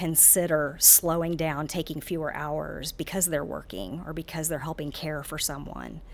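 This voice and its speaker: A woman speaks at a fairly slow pace in a very deep, low pitch with vocal fry. Her intonation stays fairly even. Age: 50s. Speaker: sociology professor, gerontology. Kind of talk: interview. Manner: halting with many fillers.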